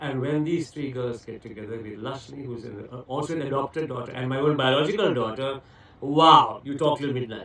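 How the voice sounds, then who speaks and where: Over noticeable background noise, a man talks at a fairly quick pace in a medium pitch, with ordinary pitch variation and big swings in loudness. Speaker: etiquette trainer and TV personality. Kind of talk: radio interview. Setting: radio studio. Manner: talkative.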